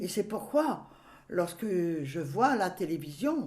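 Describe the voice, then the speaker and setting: There is audible room echo as a woman with a fairly low pitch and vocal fry moves through very wide pitch swings. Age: 80s+. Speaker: grandmother recounting memories. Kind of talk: reminiscing interview. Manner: halting.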